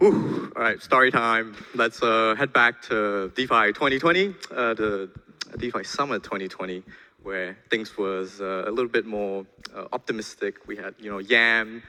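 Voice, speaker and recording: A man talks at a moderate speed, his pitch varying in an ordinary way, while noticeable background noise runs underneath. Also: medium pitch for a man, big swings in loudness. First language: not English. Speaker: conference speaker, programmer. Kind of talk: conference talk.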